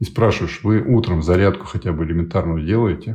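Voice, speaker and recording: A very deep, low male voice, somewhat breathy, with a dark, mellow tone. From USSR, military garrisons. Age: 50s. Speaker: project founder, life coach. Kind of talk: interview conversation.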